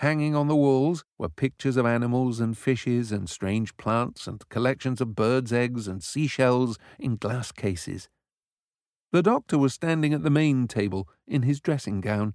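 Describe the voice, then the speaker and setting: In a put-on character voice with a British accent, a man sounds strained at a medium pitch and a moderate pace, recorded dry and close with no echo, very clean, over a silent background. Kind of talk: classic children's audiobook reading. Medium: read story. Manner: restrained but enthusiastic.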